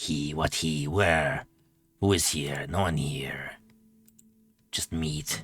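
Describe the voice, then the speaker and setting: A man's growling, put-on character voice, very deep and low in pitch, at a very slow pace with long, frequent pauses. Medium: actual play. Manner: broken, halting speech, repeats words.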